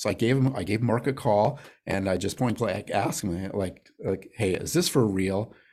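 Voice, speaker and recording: A man with an American accent and an unremarkable speaking voice, with ordinary pitch variation. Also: fairly low pitch for a man, moderate pace. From Arizona, Phoenix. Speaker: real estate investor. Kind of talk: interview.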